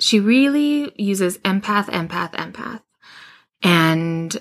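On a very clean recording with a silent background, a woman speaks with a slight Canadian accent. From Western Canada. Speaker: intuition podcast host. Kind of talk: solo monologue about intuition. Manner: warm conversational, informal.

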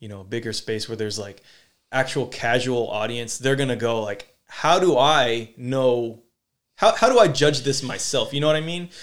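A man with an American accent and a normal speaking voice, medium pitch, ordinary pitch variation, moderate pace and big swings in loudness, on a very clean recording with a silent background. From Sacramento, California, US. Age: 30s. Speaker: podcast host, breakdancer. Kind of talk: casual interview chat.

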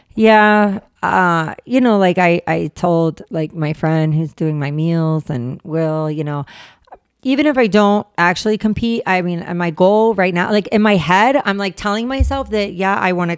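Here is a woman with a plain, everyday voice, fairly low in pitch and moving at a moderate pace with ordinary pitch variation. The sound is dry and close, with no echo. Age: 40s. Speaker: fitness enthusiast. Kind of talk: casual chat.

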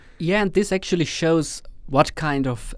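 A man with an Estonian accent speaks at a moderate pace with lively intonation. The recording is very clean, with a silent background. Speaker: doctoral candidate. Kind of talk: casual interview.

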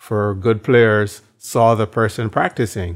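Over a silent background in a very clean recording, a man speaks with a Barbadian accent. His fairly low voice stays flat and monotone. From Barbados. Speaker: evangelism trainer and minister. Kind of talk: interview.

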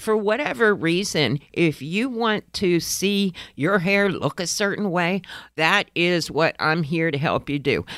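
Speaking at a fairly slow pace, a woman keeps her fairly low voice very even in loudness while her intonation stays lively. The recording is very clean, with a silent background. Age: 50s. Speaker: alternative hair specialist, podcast host. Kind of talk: casual solo podcast talk and tips. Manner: animated.

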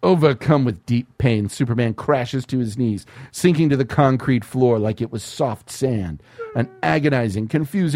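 Pitch moves in an ordinary way as the speaker plainly reads aloud.

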